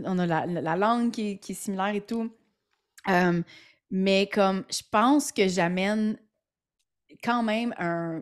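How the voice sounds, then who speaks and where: On a very clean recording with a silent background, a woman in a Quebec accent speaks at a fairly slow pace and medium pitch, her tone animated and her pitch variation ordinary. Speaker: entrepreneur and podcaster. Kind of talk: interview. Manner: halting.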